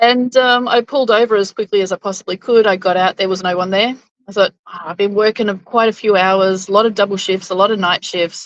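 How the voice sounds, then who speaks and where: A woman with an Australian accent talks at a fairly quick pace in a dry, close sound with no echo. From Queensland, Australia. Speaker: interview guest. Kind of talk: interview storytelling.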